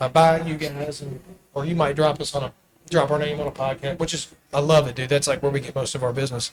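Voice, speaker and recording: A man's fairly high voice at a very fast pace, monotone and flat in intonation. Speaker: podcast host and marketing business owner. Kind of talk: casual interview chat.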